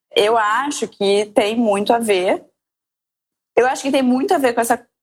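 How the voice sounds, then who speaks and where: At a moderate pace, the speaker has an ordinary speaking voice. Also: woman. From Rio de Janeiro, Brazil. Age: 30s. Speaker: mother, podcast guest. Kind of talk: casual interview chat.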